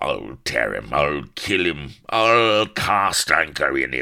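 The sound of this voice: Putting on a character voice, a man growls and cackles at an extremely low pitch with big pitch swings, vocal fry, a bright, sharp tone, and a slow pace.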